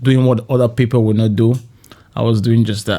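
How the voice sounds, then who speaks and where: Speaking with a slight Cameroonian accent, the man has a dark, mellow tone at medium pitch and a monotone, flat intonation. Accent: slight French-Cameroonian twang. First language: French. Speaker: podcast guest, software consultant. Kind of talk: podcast interview.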